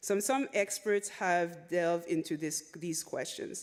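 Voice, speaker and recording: In a French accent, a woman speaks at a fairly slow pace with a fairly low pitch and lively intonation. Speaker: conference presenter, researcher. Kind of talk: conference presentation of a report. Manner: reads with frequent repetitions and self-corrections.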